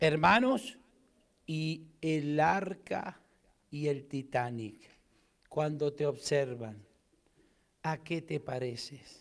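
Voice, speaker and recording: A man speaks very slowly with a fairly high pitch and lively intonation, leaving long, frequent pauses. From Argentina. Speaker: pastor. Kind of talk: sermon. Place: church. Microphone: handheld.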